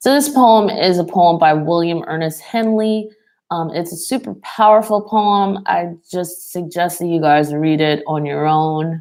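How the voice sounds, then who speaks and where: A woman's ordinary speaking voice, fairly low in pitch, with ordinary pitch variation at a fairly slow pace. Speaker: tarot reader. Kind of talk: psychic reading monologue. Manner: filler-heavy, many ums and likes.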